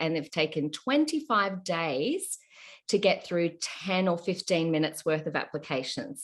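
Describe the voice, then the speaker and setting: A woman's fairly low voice in an Australian accent, over a quiet background. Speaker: podcast host. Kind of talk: casual interview chat.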